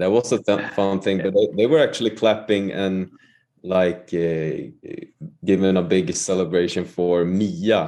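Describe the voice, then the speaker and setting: A man with a Swedish accent talks at a fairly slow pace, his fairly low voice dark and mellow in tone with ordinary pitch variation. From Sweden. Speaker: musician. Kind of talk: casual chat.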